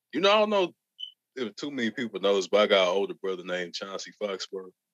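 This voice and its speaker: In a Southern US accent, a man talks at a fairly quick pace in a dry, close sound with no echo. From Arkansas. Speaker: rapper. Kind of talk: podcast interview. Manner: slurred.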